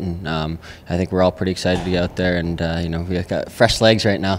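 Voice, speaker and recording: Over light background noise, a man speaks at a very deep, low pitch. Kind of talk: interview answer. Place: hall. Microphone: handheld.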